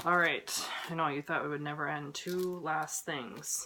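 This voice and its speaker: A woman with a fairly low voice talks through noticeable background noise. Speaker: cross-stitch vlogger. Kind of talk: casual haul video chat.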